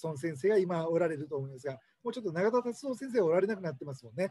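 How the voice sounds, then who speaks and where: With very wide pitch swings, a man speaks in a dry sound with no echo against a quiet background. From Hokkaido, then Fukuoka. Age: 50s. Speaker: cram school owner and tutor. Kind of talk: monologue, educational talk to camera. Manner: conversational, rambling, explanatory. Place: office. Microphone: webcam.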